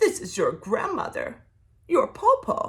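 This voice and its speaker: Using a put-on character voice, a woman talks fairly slowly at an extremely high pitch. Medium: read story. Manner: wheedling, falsely sweet.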